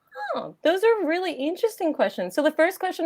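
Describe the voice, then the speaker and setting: The accent is American. The speaker is a woman. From United States. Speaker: reality TV contestant. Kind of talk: interview.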